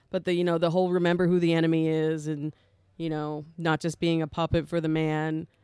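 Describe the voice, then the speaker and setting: A woman speaks with a dark, mellow tone at a fairly low pitch, her intonation monotone and flat. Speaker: podcast co-host. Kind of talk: casual chat.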